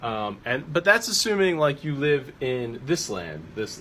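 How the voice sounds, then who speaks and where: Here is a plain, everyday voice. A man at medium pitch speaks at a moderate pace with lively intonation. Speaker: strength coach. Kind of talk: tutorial. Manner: casual with fillers.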